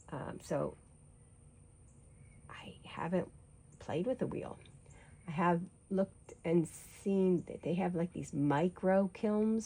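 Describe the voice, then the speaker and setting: Fairly low in pitch, this woman's voice has a dark, mellow tone and ordinary pitch variation. She speaks at a fairly slow pace with long, frequent pauses and big swings in loudness. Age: 60s. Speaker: artist and painting vlogger, retired nurse. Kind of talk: casual chat while painting. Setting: back porch. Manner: rambling, conversational with fillers.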